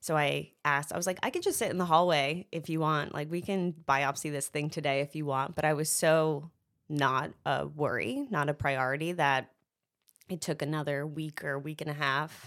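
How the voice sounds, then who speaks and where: In a very clean recording with a silent background, a woman with a very deep, low pitch speaks at a moderate pace with fairly even intonation. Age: 30s. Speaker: cancer survivor and speaker. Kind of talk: casual chat. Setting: studio.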